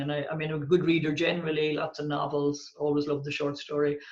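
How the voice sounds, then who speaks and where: Speaking at a fairly quick pace with a Dublin accent, a woman's very deep, low voice carries audible room echo. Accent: Irish (Dublin). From Ireland, Dublin. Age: 60s. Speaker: poet and writer. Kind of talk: interview.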